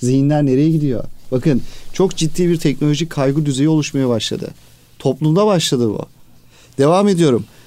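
Dark and mellow in tone, a man's fairly high voice moves with ordinary pitch variation. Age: 40s. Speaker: educator, school administrator. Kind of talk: radio interview.

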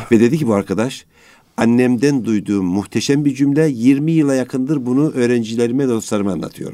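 This man has a dark, mellow tone and a medium pitch, with ordinary pitch variation and a fairly quick pace. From Anatolia, Turkey. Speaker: sociologist and education administrator. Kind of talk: radio interview. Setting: studio.

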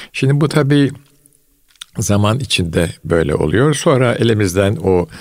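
Very wide pitch swings mark a man's speech at a fairly slow pace. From Istanbul, Turkey (Fatih). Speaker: retired scholar. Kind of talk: casual chat.

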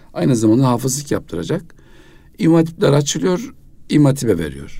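A man's dark, mellow voice at a medium pitch, with vocal fry. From Kayseri, central Anatolia, Turkey. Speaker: mufti, religious official. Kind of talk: radio interview, life story. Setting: radio studio.

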